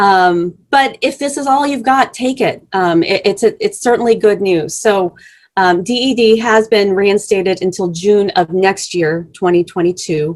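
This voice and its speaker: Speaking in a plain, everyday voice, a woman uses a medium pitch with ordinary pitch variation, a fairly slow pace and hardly any pauses. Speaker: immigration legal speaker. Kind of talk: presentation.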